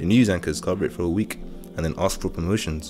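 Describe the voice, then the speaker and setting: A man's very deep, low voice at a fairly quick pace over music in the background. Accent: British. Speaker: spoken word poet. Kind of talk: spoken word poetry performance.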